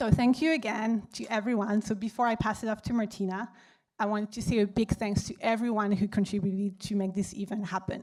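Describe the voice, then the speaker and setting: A woman with a French accent, fairly high in pitch, at a fairly quick pace. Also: fairly even intonation. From France. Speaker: data analyst and event organizer. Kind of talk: event welcome speech. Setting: stage with audience.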